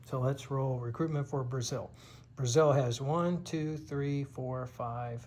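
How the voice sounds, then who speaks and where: At a very slow pace, a man talks with a medium pitch, fairly even intonation, and a somewhat breathy quality. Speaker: board game player and video creator. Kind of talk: game turn narration. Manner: slow, deliberate.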